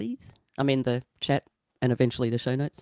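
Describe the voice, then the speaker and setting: A woman's very deep, low voice with an Australian accent, dark and mellow in tone, at a fairly quick pace, with a dry, close sound and no echo. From New South Wales, Australia. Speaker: podcast co-host. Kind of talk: casual chat.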